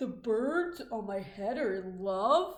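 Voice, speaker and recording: There is audible echo as a woman in a put-on character voice talks at a fairly slow pace and a fairly high pitch. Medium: read story. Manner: calm, matter-of-fact.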